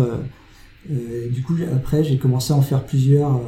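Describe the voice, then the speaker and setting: The man talks at medium pitch with fairly even intonation. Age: 40s. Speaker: advertising creative. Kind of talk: interview. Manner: halting.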